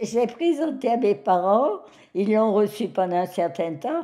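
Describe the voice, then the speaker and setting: A woman's voice moves at a very slow pace while her pitch swings very widely. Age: 90s. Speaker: elderly woman telling her life story. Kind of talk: personal testimony. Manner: hesitant, with fillers.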